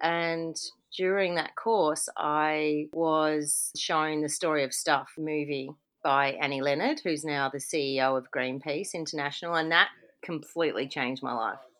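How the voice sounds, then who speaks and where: A woman with an Australian accent and a very deep, low voice speaks fairly slowly with fairly even intonation, captured in a very clean recording with a silent background. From Victoria, Australia. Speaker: environmental activist. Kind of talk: interview.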